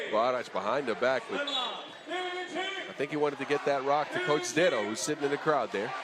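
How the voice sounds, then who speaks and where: Through noticeable background noise and audible room echo, a man speaks at a moderate pace with hardly any pauses. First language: not English. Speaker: 3x3 basketball commentator. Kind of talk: live commentary. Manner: animated.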